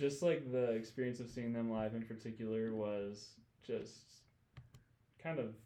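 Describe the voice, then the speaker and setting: Heard with audible room echo, a man with an American accent has a dark, mellow tone at medium pitch, speaking at a moderate pace with fairly even intonation and long, frequent pauses. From Michigan, US Midwest. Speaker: worship leader. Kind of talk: casual chat. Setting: studio.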